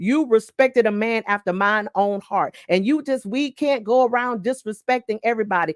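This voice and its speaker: Her unremarkable speaking voice sitting fairly high, a woman talks at a moderate pace with ordinary pitch variation. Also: dry, close sound with no echo. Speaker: pastor. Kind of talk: sermon.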